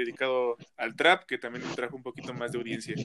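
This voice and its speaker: A man speaks at a very fast pace with a central Mexican accent. His tone is bright and sharp. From central Mexico, State of Mexico (Toluca). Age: young. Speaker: rapper. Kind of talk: interview.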